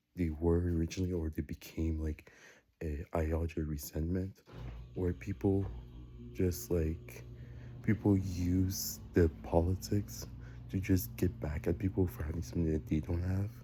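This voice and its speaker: Quiet and somewhat breathy, a man speaks at a moderate pace with long, frequent pauses, his very deep, low pitch carrying a dark, mellow tone. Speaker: vlogger. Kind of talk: casual monologue. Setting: home basement, early morning. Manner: rambling, hesitant with fillers.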